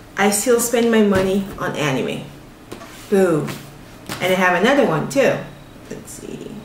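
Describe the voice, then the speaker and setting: A woman speaks very slowly, leaving long, frequent pauses. Audible room echo and noticeable background noise surround her. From Togo (Lomé), West Africa. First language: Ewe (also French). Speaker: vlogger and writer. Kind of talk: casual vlog Q&A.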